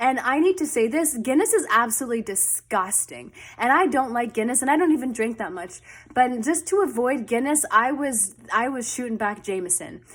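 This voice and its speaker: An animated woman's voice, high in pitch, with lively intonation. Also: moderate pace. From Canada. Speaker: storytime vlogger. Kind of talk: personal storytelling. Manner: casual, animated.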